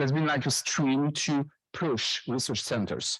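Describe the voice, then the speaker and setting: Recorded very cleanly against a silent background, a man with a French accent speaks at a moderate pace with fairly even intonation. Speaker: professor. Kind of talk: conference presentation. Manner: halting.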